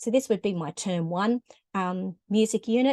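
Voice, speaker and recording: With an Australian accent, the speaker uses ordinary pitch variation against a quiet background, and the sound is dry and close with no echo. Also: woman. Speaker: music teacher. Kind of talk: tutorial. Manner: conversational with frequent hesitations.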